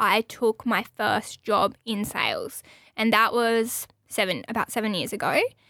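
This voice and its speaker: The tone is bright and sharp, with an Australian accent. The sound is dry and close, with no echo. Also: woman. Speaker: podcast host and radio station staffer. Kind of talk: casual chat. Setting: studio.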